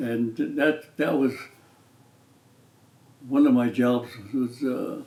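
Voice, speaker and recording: In an American accent, a man speaks very slowly at a medium pitch with monotone, flat intonation. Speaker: retired professional basketball player. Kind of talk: interview answer. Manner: slow, hesitant.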